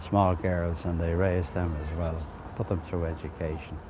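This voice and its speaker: A man with a Dublin accent, very deep and low in pitch, at a moderate pace. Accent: Dublin Irish. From Dublin inner city. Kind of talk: oral history interview.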